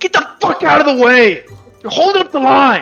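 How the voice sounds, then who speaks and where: In a put-on character voice that is female-sounding and gruff, the speaker goes at a moderate pace with faint music in the background. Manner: angry, shouting.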